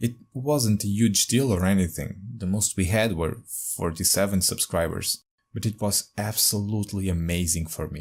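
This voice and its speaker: A man with a non-native accent and a fairly low pitch speaks at a moderate pace in a somewhat breathy voice with ordinary pitch variation, in a very clean recording with a silent background. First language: not English. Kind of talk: casual talk to camera.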